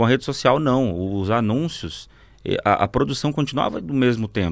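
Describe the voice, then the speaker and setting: This is an ordinary speaking voice with lively intonation, moving at a moderate pace. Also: man, medium pitch for a man. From Mato Grosso, Brazil (born Rondônia). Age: 30s. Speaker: advertising agency partner. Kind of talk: podcast interview. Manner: casual, conversational.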